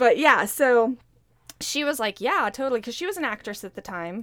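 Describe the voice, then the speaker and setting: A woman's voice with ordinary pitch variation. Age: 30s. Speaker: podcast co-host. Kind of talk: casual chat. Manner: animated.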